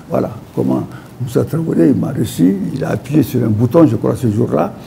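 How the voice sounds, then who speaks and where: Moderate pace from a man, with noticeable background noise. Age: 80s+. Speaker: poet. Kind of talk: talk show interview. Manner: animated storytelling.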